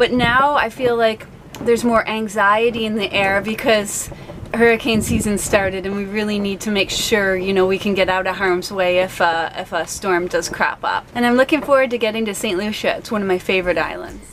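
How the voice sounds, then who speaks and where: Through noticeable background noise, a woman talks at a fairly quick pace with ordinary pitch variation. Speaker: sailing family vlogger. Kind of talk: casual vlog chat. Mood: calm, slightly anxious. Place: boat. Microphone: phone near.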